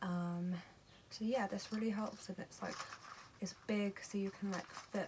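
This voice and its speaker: A woman's monotone, flat delivery at a fairly slow pace, with noticeable background noise. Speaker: vlogger with epilepsy. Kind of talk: casual vlog. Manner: hesitant, many fillers.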